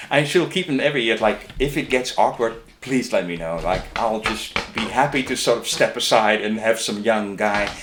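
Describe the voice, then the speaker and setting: A man with a medium pitch and ordinary pitch variation talks at a moderate pace while noticeable background noise plays. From Netherlands, Amsterdam area. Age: 60s. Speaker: graphic and type designer. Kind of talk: interview. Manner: casual, halting with many repetitions.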